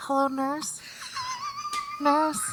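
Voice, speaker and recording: This is a put-on character voice with a high pitch. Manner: creepy.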